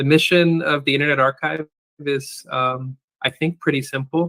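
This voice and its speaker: With a Californian accent, a man's fairly high voice has a bright, sharp tone and monotone, flat intonation, heard as a dry, close sound with no echo. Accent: General American (Californian). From US West Coast, San Francisco Bay Area. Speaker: archive and data services director. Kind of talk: interview. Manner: deliberately slow; hesitant, many fillers.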